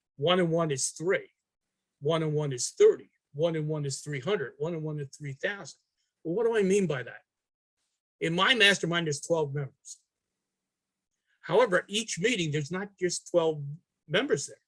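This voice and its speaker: A moderate pace with long, frequent pauses, in a New York accent. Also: man, high pitch for a man, ordinary pitch variation. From New York City. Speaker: artist. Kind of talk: interview answer.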